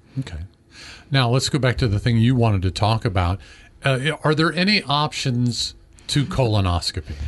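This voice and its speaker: Somewhat breathy and at very even loudness, a man speaks at a moderate pace at a medium pitch, his voice making very wide pitch swings. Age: 50s. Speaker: health show host. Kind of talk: health interview.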